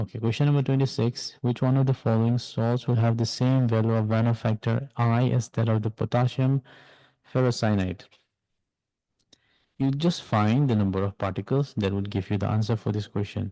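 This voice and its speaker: At a medium pitch, a man speaks with a dark, mellow tone, fairly even intonation and very even loudness. The sound is dry and close with no echo, over a quiet background. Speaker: chemistry tutor. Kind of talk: tutorial. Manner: fast.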